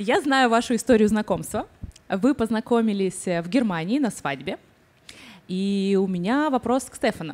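A woman speaks at a moderate pace with a fairly high pitch. Her loudness swings widely, with long, frequent pauses. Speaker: interviewer and channel author; interview host. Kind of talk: public talk interview. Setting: stage with audience. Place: stage. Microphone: handheld.

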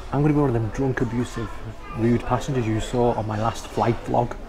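A man talks at a very fast pace. Noticeable background noise runs under his voice. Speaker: travel vlogger. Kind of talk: casual vlog chat. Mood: cheerful, jokey. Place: hall. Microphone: phone near.

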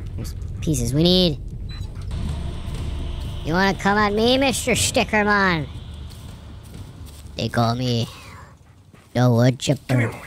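A put-on character voice at a middle pitch, swinging very widely up and down, delivered at a fairly slow pace with long, frequent pauses. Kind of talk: horror game let's play commentary. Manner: upbeat, jokey.

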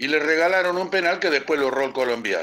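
Lively intonation runs through this man's speech. His pitch sits high. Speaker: caller.

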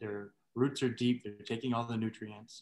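A man speaks at medium pitch and a moderate pace. His intonation stays monotone and flat. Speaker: church group participant. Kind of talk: group discussion. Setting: video call. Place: home room. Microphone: video call.

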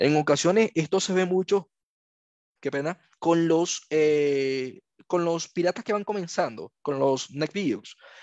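A man with a normal speaking voice talks fairly slowly at a fairly high pitch with ordinary pitch variation. The sound is dry and close with no echo, over a quiet background. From Venezuela. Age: 30s. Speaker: ethical hacker and cloud specialist. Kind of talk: lecture.

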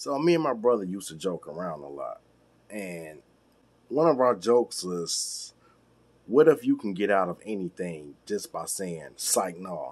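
A man's fairly low voice with very wide pitch swings, at a fairly slow pace. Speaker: vlogger. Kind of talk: casual vlog chat. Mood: playful storytelling. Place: home room. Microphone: phone near.

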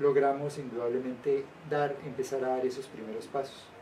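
Fairly even in intonation, a man speaks at a moderate pace over light background noise. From Colombia. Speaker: trade union leader; interviewee. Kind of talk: interview. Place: meeting room. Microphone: camera far.

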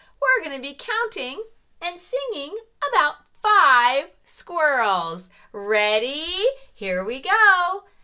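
A female-sounding cartoonish character voice, high-pitched with very wide pitch swings, moves at a very slow pace with long, frequent pauses. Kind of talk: preschool teacher talk. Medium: puppet show. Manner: warm, bright, encouraging, slow and clear; playfully surprised.

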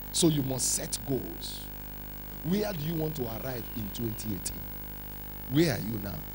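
Over music in the background, the speaker uses an animated tone and a Nigerian accent at a fairly slow pace, with long, frequent pauses. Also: man. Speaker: pastor. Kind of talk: fiery revival sermon with call-and-response, demanding louder amens from the congregation. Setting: church. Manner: insistent and rousing, repeating declarations to drive them home; animated, teasing the crowd and slipping into pidgin asides.

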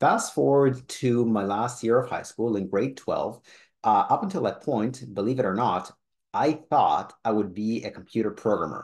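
The man has an ordinary speaking voice at a medium pitch, with ordinary pitch variation. He speaks at a moderate pace against a quiet background. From Israel and Canada (born in Soviet Union). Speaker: personal trainer. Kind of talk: personal story vlog.

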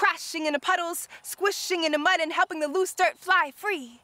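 The woman's voice has a bright, sharp tone and ordinary pitch variation, with dry sound and no echo. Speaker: spoken word poet. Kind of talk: spoken word poetry performance. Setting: outdoors at a wetlands park. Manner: rhythmic, lyrical, impassioned; deliberate, emphatic cadence. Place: open country.

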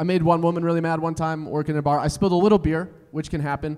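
Very fast speech in an American accent, with fairly even intonation and a quiet background. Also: man. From Colorado. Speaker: stand-up comedian. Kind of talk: stand-up comedy set. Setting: stage with live audience. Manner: high-energy, loud, crowd-working. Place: stage. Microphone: handheld.

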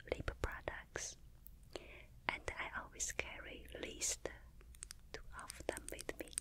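Whispering, a woman speaks. Her pace is very slow. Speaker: ASMR creator. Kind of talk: soft-spoken show and tell. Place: home room. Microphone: studio mic.

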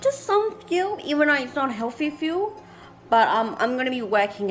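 A woman speaks over light background noise. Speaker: vlogger. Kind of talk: casual vlog chat. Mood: relaxed, slightly anxious. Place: home room. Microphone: phone near.

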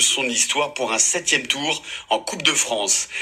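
The man speaks at a fairly slow pace. There is noticeable background noise. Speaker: radio sports reporter. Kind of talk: radio news report.

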